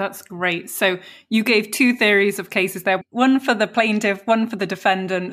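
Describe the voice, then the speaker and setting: A woman speaks with a British accent. Her intonation is fairly even. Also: medium pitch for a woman, moderate pace. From England. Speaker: podcast host teaching legal English. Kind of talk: interview. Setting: video call.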